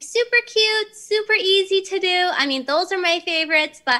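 A raised, projected voice with a bright, sharp tone, at a moderate pace over a quiet background. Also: woman. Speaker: remote guest. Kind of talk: tutorial. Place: home room. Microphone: video call.

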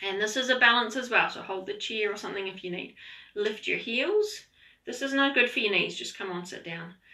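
A woman speaks in a calm, gentle tone with ordinary pitch variation. Her loudness swings widely. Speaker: yoga instructor. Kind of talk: online yoga class, guided instruction. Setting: online video class, at home. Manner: calm, gentle, encouraging, unhurried; warm, chatty, light humor. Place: home room. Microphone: camera far.

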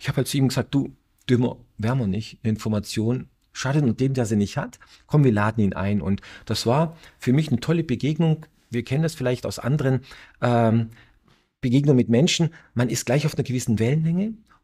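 A somewhat breathy, dark, mellow tone moves at a fairly quick pace. Long, frequent pauses break it up over a quiet background. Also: man, medium pitch for a man, ordinary pitch variation. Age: middle-aged. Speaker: entrepreneur and inventor; guest. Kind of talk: interview. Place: studio. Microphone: lapel.

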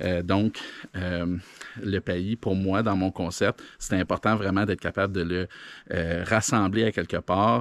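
Very deep and low, a man's voice carries a Quebec accent and fairly even intonation. He keeps a moderate pace, and the sound is dry with no echo. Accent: Québécois French. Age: 40s. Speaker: entrepreneur, video blogger; video blogger. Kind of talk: casual monologue. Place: garden. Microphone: phone near.

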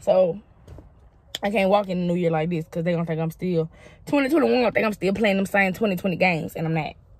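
In a dry recording with no echo, a medium-pitched woman speaks at a very fast pace with ordinary pitch variation. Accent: Southern US. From Mississippi, USA. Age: 20s. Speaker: comedian. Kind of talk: casual vlog talk to camera. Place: car. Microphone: phone near.

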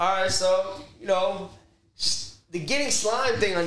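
Someone with an American accent speaks at a fairly slow pace, with audible room echo. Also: man. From Nebraska. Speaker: podcast host. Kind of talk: casual chat. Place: studio.

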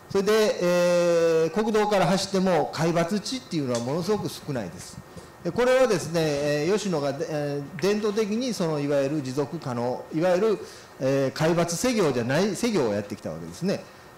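A man with a high pitch and a nervous tone talks at a moderate pace with lively intonation, with audible room echo and light background noise. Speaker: forestry company vice president, keynote speaker; keynote speaker. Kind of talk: keynote lecture. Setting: symposium hall. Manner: nervous at start. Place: hall. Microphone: handheld.

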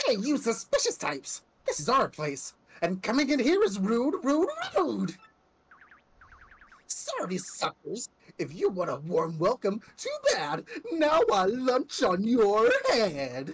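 A put-on character voice, fairly high-pitched and fairly slow, with long, frequent pauses. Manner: loud and taunting.

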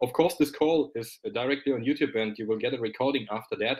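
A man speaks at a fairly quick pace. Nothing is heard behind him. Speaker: company founder. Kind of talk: business webinar presentation. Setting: live video stream. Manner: animated; laughs often. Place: office.

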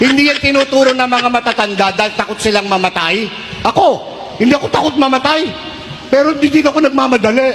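The tone is animated yet deadpan, the pace very fast, and background noise is noticeable. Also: man, extremely high pitch for a man. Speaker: priest. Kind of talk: stand-up comedy in a homily. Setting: church congregation with audience. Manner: animated, joke-cracking, deadpan punchlines; pauses for audience laughter.

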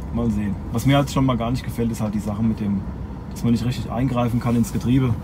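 Noticeable background noise sits behind this man's speech. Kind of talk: casual vlog chat. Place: car. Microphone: phone near.

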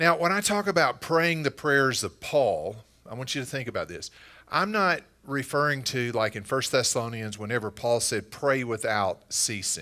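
A moderate pace, big swings in loudness and a bright, sharp tone over a quiet background. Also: man. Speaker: pastor. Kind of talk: sermon. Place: church.

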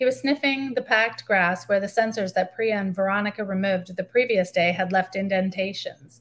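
With a Canadian accent, a woman speaks at a fairly quick pace using ordinary pitch variation. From Canada, northern Ontario, military bases. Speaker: novelist. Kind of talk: reading aloud. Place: home room. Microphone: webcam.

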